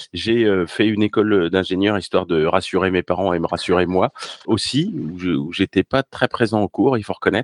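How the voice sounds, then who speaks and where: Here a man talks at a fairly quick pace with ordinary pitch variation. The audio is dry and close, without echo. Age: 50s. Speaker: tech professional and podcaster. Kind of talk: casual interview.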